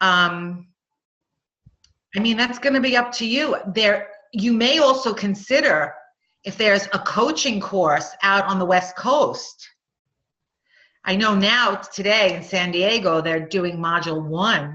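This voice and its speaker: Using a Long Island accent, a woman speaks at a medium pitch with lively intonation, at a very slow pace with long, frequent pauses. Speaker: nurse coaching instructor. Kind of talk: webinar Q&A.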